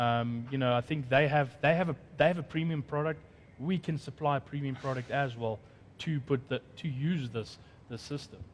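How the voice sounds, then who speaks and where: A man with a fairly high, somewhat breathy voice talks at a moderate pace with ordinary pitch variation over light background noise. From South Africa. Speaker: conference host. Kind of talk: panel discussion moderation. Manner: halting. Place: studio.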